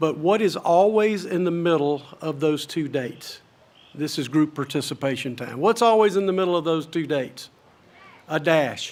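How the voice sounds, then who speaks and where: In a normal speaking voice, a man talks at a moderate pace with fairly high pitch and ordinary pitch variation. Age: 60s. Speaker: commencement speaker. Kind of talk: commencement speech. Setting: stage with audience.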